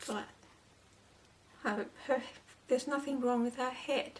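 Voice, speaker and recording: Behind the speech there is noticeable background noise. The voice is a woman's. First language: not English. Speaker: doll shoe crafter and translator. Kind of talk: tutorial with personal talk. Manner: halting, repeats words.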